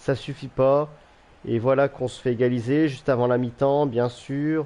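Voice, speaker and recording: A man speaks at a moderate pace in a medium pitch, his tone dark and mellow. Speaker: gaming YouTuber. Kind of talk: gameplay commentary. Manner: animated.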